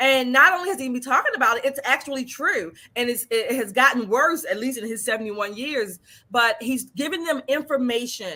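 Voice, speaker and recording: A woman's raised, projected voice, high in pitch, with lively intonation and a fairly quick pace. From Baltimore. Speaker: political commentator. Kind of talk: reaction commentary.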